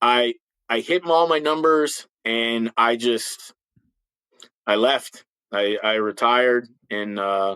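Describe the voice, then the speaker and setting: A man speaks in a bright, sharp tone. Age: 50s. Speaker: retired police officer. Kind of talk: casual chat. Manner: halting, with frequent repetitions.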